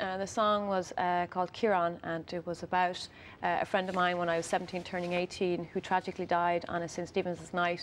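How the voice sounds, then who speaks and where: Against a quiet background, a woman with an Irish accent and a fairly low pitch talks at a fairly quick pace in a monotone, flat intonation. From Ireland, County Louth. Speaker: singer-songwriter. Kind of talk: TV interview. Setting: TV studio.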